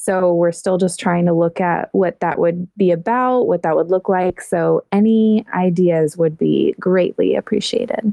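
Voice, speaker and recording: A woman with an ordinary speaking voice talks at a fairly slow pace with hardly any pauses, keeping a medium pitch, fairly even intonation and very even loudness. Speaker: podcast host. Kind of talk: casual chat. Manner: warm, laughs often.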